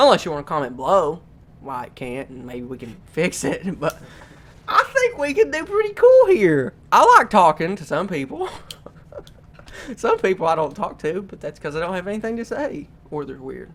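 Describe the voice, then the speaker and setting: With noticeable background noise behind him, a man talks at a moderate pace with big swings in loudness. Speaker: YouTuber and podcast host. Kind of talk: casual chat. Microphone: cheap microphones.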